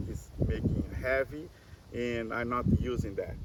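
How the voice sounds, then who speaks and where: Over noticeable background noise, a man speaks with a Portuguese accent. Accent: Portuguese-speaking non-native English. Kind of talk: casual chat. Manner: halting, many repetitions.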